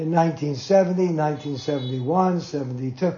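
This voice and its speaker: An American accent with ordinary pitch variation against noticeable background noise. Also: man. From US Northeast, Jersey City, New Jersey. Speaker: spiritual teacher recalling his guru. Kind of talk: storytelling talk to devotees. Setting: small gathering in an apartment.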